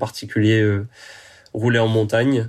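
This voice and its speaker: The man speaks at a moderate pace with a medium pitch. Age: 20s. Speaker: professional triathlete and engineering student. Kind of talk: podcast interview.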